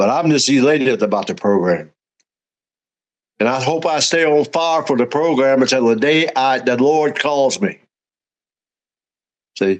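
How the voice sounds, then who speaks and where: A man with a Southern US accent and a medium-pitched voice, lively intonation, moderate pace, long and frequent pauses, very even loudness, and a quiet background. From Louisiana. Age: 80s+. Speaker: recovering alcoholic and sponsor. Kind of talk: personal story in a casual interview.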